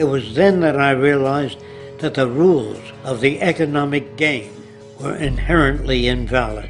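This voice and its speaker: With music in the background, a man with an American accent talks at a moderate pace, his fairly high voice showing ordinary pitch variation. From New York City. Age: 80s+. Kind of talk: scripted monologue to camera.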